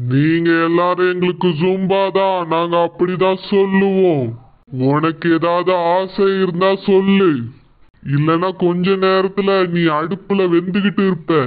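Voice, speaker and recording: At a very slow pace, a man puts on a character voice pitched high. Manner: upbeat, mocking.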